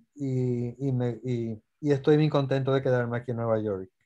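A man's dark, mellow voice with fairly even intonation, over a quiet background. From Puerto Rico. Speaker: anesthesiologist; guest. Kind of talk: lecture; interview answer. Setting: video call. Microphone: webcam.

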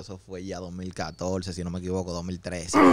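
His voice is very deep and low in pitch. This man talks at a moderate pace. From Dominican Republic, Santo Domingo Oeste. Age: 20s. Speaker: rapper. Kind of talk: casual chat. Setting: studio. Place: studio. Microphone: studio mic.

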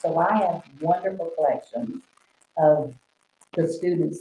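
The voice is somewhat breathy with a dark, mellow tone and moves at a fairly slow pace. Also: woman. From Oklahoma. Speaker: artist. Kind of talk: interview.

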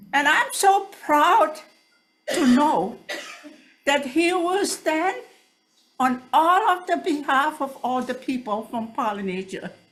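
Her pitch high and swinging very widely, a woman talks at a very slow pace. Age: 80s+. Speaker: public testifier. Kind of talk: public testimony.

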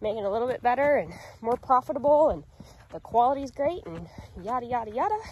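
A woman speaks fairly quickly in a high voice. The sound is dry with no echo, and there is light background noise. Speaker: farm vlogger. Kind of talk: casual vlog chat. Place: open country. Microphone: phone near.

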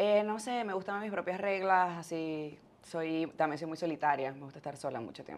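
A woman with an unremarkable speaking voice talks at a moderate pace in a fairly low pitch, with ordinary pitch variation and big swings in loudness. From Venezuela, Maracay and Valencia; Venezuela. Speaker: podcaster and fitness influencer; podcaster, fitness influencer. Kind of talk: casual interview. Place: studio. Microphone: lapel.

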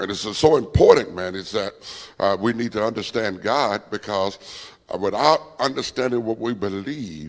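A man speaks at a fairly quick pace with fairly low pitch and ordinary pitch variation. The background is quiet. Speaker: preacher. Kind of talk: sermon. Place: church. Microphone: handheld.

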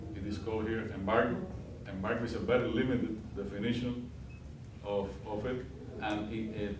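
The clip carries noticeable background noise and audible room echo. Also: man. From Cuba. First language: Spanish. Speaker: diplomat. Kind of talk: guest lecture. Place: classroom. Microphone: camera far.

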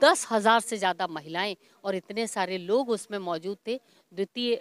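A woman at a medium pitch with ordinary pitch variation, a fairly slow pace, and a dry sound with no echo. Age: 50s. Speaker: stage announcer. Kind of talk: interview. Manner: formal. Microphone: handheld.

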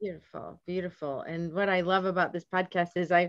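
A woman's fairly quick speech with fairly even intonation, in an American accent. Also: fairly low pitch for a woman.

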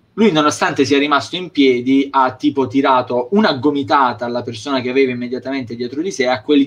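In a plain, everyday voice, a man talks at a fairly quick pace with hardly any pauses, medium pitch, and ordinary pitch variation. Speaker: wrestling show host. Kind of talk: casual chat. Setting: video call. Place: home room. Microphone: video call.

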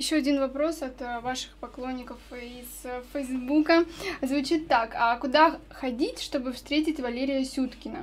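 A woman with a high-pitched voice speaks with fairly even intonation and big swings in loudness over light background noise. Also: fairly slow pace. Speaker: radio host. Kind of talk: radio interview. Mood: friendly, smiling. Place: studio. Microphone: studio mic.

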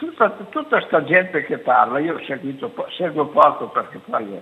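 A man talks at a fairly slow pace. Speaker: caller. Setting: phone call.

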